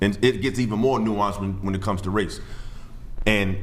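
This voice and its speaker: The male voice, somewhat deep and mostly level in its intonation, comes through clear background noise and the echo of the room. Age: 30s. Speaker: podcast guest. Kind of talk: panel discussion. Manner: halting.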